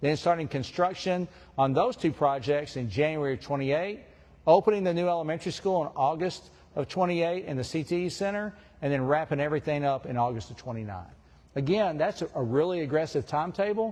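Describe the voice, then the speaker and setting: Here a man speaks at a very fast pace with lively intonation and a fairly high pitch. The background is quiet. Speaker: school district administrator. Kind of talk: public presentation; audience Q&A. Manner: loud.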